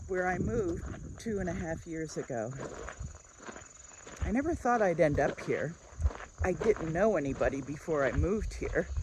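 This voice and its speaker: Long, frequent pauses break up this woman's speech. Background noise is noticeable throughout. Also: moderate pace. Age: 60s. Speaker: lifestyle vlogger. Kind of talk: casual vlog talk while walking. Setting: outdoors, walking.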